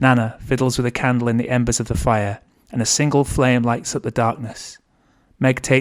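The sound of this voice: Simply an unforced reading voice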